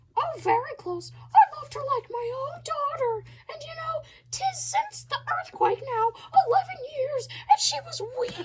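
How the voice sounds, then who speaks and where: In a put-on character voice, a woman speaks at a moderate pace with a squeaky, extremely high pitch, raised and projected, and lively intonation. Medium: stage play. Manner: chatty, rambling.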